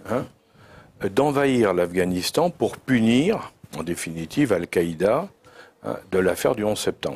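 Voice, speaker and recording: A man with a fairly low pitch speaks at a fairly slow pace, his voice making very wide pitch swings. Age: 70s. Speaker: former intelligence director. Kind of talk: long-form interview. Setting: live studio interview.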